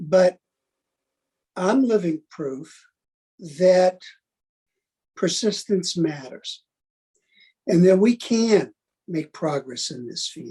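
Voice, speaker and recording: In an American accent, a man speaks at a very slow pace with long, frequent pauses and big swings in loudness. His pitch is high for a man, his intonation lively, and his tone dark and mellow. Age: 70s. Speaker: arms control expert. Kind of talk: webinar talk.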